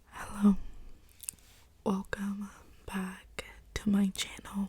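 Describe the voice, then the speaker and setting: Soft-spoken and very slow, a woman talks at a medium pitch in a monotone, flat intonation. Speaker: ASMR creator. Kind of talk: makeup tutorial talk to camera.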